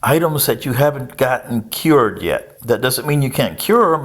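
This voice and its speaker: On a very clean recording with a silent background, a man speaks in a plain, everyday voice at a moderate pace with ordinary pitch variation. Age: 60s. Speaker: political commentator. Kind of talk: casual monologue.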